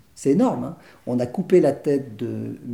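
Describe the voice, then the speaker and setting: Dark and mellow with vocal fry, a man's voice shows ordinary pitch variation. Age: 60s. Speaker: theatre director. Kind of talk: interview. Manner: halting.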